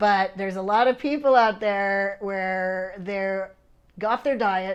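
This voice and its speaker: A woman at a very slow pace, medium in pitch with fairly even intonation, over a quiet background. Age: 60s. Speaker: fitness competitor and channel host. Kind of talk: casual chat.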